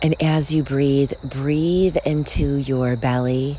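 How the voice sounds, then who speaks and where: A woman speaks very slowly in a very deep, low voice, her tone soothing and calm. Her intonation stays fairly even, and there is noticeable background noise. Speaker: meditation guide and podcast host. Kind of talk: guided meditation. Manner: slow, soothing, calm and gently paced with long pauses; soft-spoken, warm and reassuring.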